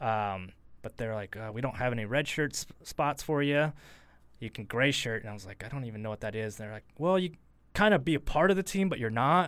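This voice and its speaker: In an ordinary speaking voice, this speaker talks at a fairly quick pace with lively intonation and big swings in loudness, on a very clean recording with a silent background. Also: man, medium pitch for a man. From Idaho, Boise area (born in Portland, Oregon). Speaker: former football kicker. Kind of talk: casual interview. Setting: studio.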